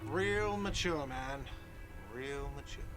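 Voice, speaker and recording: A man's whiny, put-on character voice at medium pitch, over loud background noise. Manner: whiny, shouting, sarcastic.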